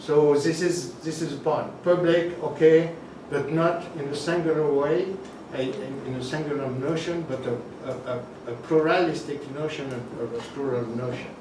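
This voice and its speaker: A man with a French accent speaks at a moderate pace in a fairly high voice, his intonation fairly even. Noticeable background noise and audible room echo fill the recording. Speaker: academic presenter at a workshop. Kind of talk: academic roundtable talk. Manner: halting, many fillers.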